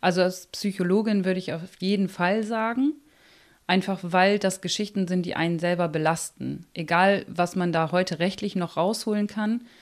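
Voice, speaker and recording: On a very clean recording with a silent background, a woman speaks at a fairly slow pace in an unremarkable speaking voice. Her pitch is medium and her intonation fairly even. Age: 30s. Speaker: psychologist. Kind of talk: interview.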